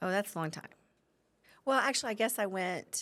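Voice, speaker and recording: An American accent in a woman's voice. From Oklahoma, Guthrie. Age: 40s. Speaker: community member. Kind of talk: casual interview.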